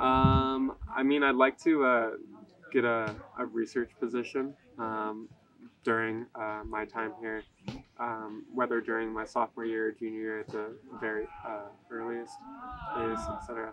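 A man's medium-pitched voice with an American accent, fairly slow and fairly even in intonation, with long, frequent pauses, dry sound with no echo, and noticeable background noise. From California. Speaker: college runner. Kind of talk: interview. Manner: casual, with many fillers. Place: waterside.

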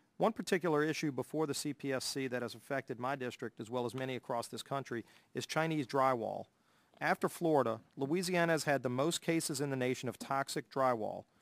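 Against a quiet background, a man with a Southern US accent talks at a fairly quick pace in a fairly high pitch, the sound dry with no echo. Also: ordinary pitch variation. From US South. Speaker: congressman. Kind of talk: formal hearing. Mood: serious, concerned. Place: hall.

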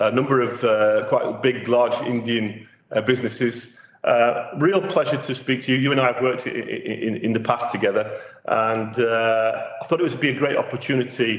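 The speaker keeps a moderate pace and ordinary pitch variation, with audible room echo in the recording. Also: man. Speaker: interviewer host. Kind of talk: interview introduction. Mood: warm, friendly. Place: meeting room.

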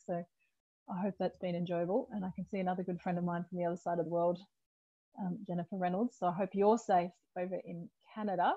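A woman talks at a fast pace in a fairly low pitch. Her pitch shows little movement.

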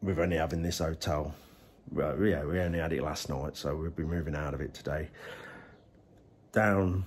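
A man speaks with a very deep, low pitch and vocal fry at a moderate pace. Light background noise can be heard. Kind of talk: casual vlog chat. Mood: cheerful, slightly under the weather. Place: home room. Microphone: phone near.

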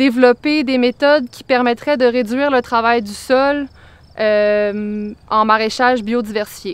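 Her pitch is high and her intonation fairly even as a woman speaks at a very slow pace. The sound is dry with no echo. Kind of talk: interview answer. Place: farm.

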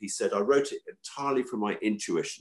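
A man speaks with a southern English accent. The background is quiet. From London, England. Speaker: organic farmer and food campaigner; podcast guest. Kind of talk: interview. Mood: calm, reflective. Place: home room. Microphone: video call.

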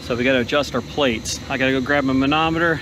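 A man talks at a fairly quick pace. The sound is dry with no echo, but noticeable background noise comes through. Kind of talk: tutorial. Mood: calm, slightly frustrated. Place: open country. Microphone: phone near.

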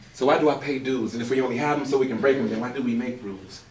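Very fast pace from a man at medium pitch for a man, with ordinary pitch variation, audible room echo and light background noise. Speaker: spoken word poet. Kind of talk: spoken word poetry performance. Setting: live open mic venue. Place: stage. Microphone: camera far.

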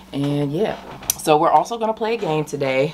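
A woman is speaking. Light background noise is present. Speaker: mukbang host. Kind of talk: casual vlog chat. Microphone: camera far.

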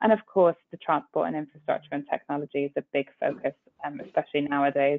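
Pitch varies in an ordinary way at a very fast pace. The sound is dry, with no echo. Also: woman, very deep, low pitch for a woman. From Middle East. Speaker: corporate lawyer. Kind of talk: business presentation. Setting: video call. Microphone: video call.

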